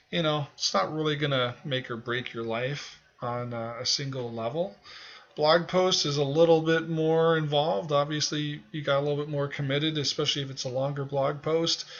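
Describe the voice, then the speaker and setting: A man talks at a moderate pace in a plain, everyday voice, pitched fairly high, with fairly even intonation. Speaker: online music marketing instructor. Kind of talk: tutorial. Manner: casual, many filler words.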